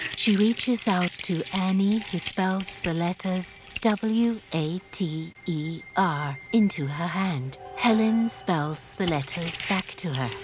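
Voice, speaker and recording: A woman at medium pitch with ordinary pitch variation, very slow in pace with hardly any pauses, music in the background. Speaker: audio describer. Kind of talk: audio description narration.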